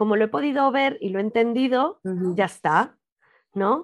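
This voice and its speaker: An unremarkable speaking voice at a moderate pace against a quiet background. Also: woman. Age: 40s. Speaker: podcast host, body image coach. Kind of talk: casual interview chat.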